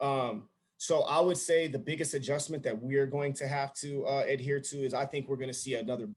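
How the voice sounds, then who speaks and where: Somewhat breathy, a man talks at a moderate pace with a fairly high pitch and fairly even intonation. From Alaska (Anchorage). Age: 40s. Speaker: basketball coach and facility director. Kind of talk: podcast interview. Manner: halting, many filler words and restarts.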